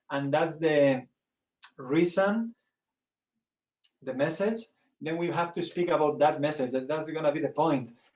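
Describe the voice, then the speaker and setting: Speaking with a Spanish accent, a man at a fairly high pitch moves at a fairly slow pace with long, frequent pauses and ordinary pitch variation. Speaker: priest and theologian. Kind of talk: interview. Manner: halting, searching for words.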